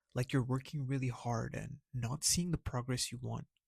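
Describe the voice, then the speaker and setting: Quiet and somewhat breathy, a man speaks at a medium pitch and moderate pace in a dry, close sound with no echo. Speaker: video essay narrator. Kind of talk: anime story recap and analysis narration.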